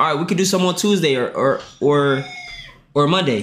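The delivery is animated, with ordinary pitch variation at a moderate pace. Light background noise is present. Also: man. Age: 20s. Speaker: livestreamer. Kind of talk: casual livestream chat. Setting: livestream with Discord call. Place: home room. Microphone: headset.

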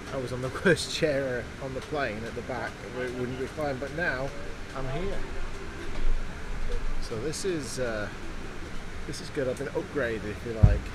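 Loud background noise fills the clip while the speech stops for long, frequent pauses. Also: man, ordinary pitch variation, moderate pace. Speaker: travel vlogger. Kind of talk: casual vlog chat. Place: plane. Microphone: phone near.

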